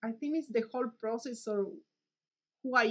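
Over a quiet background, a woman speaks in a bright, sharp tone with ordinary pitch variation. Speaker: mathematician. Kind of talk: interview monologue. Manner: halting, hesitant. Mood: warm, reflective. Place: office. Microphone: webcam.

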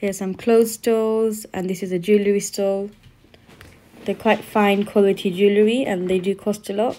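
With a dark, mellow tone, a woman talks at a moderate pace in a flat, monotone delivery. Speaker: vlogger filming a market visit. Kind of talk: casual vlog chat. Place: market. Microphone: phone near.

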